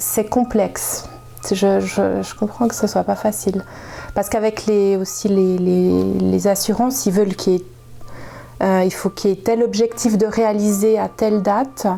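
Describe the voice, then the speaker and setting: Over music in the background, a woman talks fairly slowly at a medium pitch with fairly even intonation. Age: 40s. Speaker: nurse. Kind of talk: interview answer.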